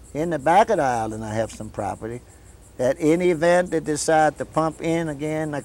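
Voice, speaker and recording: In a south Louisiana accent, a man with a fairly high pitch talks at a moderate pace. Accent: south Louisiana Cajun English. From US South. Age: 70s. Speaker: local elder. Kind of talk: interview.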